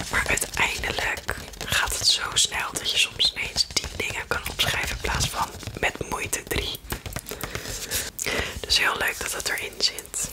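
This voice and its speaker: A woman's whisper at a very slow pace, broken by long, frequent pauses. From Netherlands. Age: 20s. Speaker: ASMR creator. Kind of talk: casual talk to camera, ASMR unboxing. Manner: soft-spoken, whispered. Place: home room. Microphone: studio mic.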